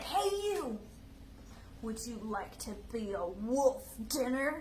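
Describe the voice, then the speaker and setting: In a put-on character voice, a female-sounding voice speaks at a very slow pace with a high pitch for a woman, and background noise is clearly audible. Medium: read story. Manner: gruff, suspicious.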